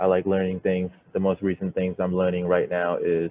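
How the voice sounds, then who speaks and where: A man speaks with a Thai accent. His pitch is very deep and low, and his intonation is monotone and flat. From Thailand, moved to US at 13. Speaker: software developer, bootcamp graduate, Marine veteran. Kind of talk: project presentation. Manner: halting, many fillers.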